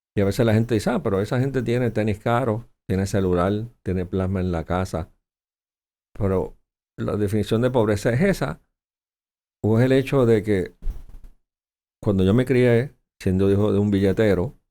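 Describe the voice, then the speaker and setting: In a Puerto Rican accent, the speaker uses a dark, mellow tone and ordinary pitch variation at a moderate pace, with long, frequent pauses. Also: man, fairly low pitch for a man. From Puerto Rico. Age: 60s. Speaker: senator, politician. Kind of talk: interview.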